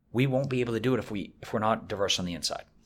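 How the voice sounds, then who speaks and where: With an American accent, a man talks with ordinary pitch variation. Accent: slight, fading Boston. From Boston area, US. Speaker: business executive. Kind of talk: interview.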